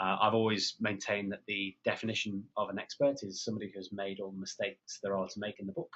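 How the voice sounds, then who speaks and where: A man with a British accent and a fairly low voice speaks at a very fast pace with fairly even intonation and hardly any pauses. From England. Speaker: PR consultant and former journalist. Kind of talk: webinar interview. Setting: phone or web call.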